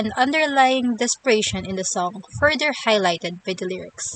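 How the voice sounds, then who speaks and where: A woman with a non-native accent talks at a moderate pace and medium pitch, the sound dry and close with no echo. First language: not English. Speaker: YouTuber, music lyrics reviewer. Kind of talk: scripted commentary.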